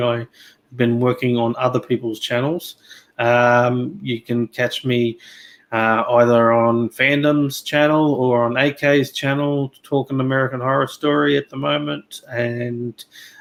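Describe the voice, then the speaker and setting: Over a silent background on a very clean recording, a man with an Australian accent speaks at a medium pitch. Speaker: YouTuber, guest panelist. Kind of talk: casual discussion. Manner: halting, many fillers.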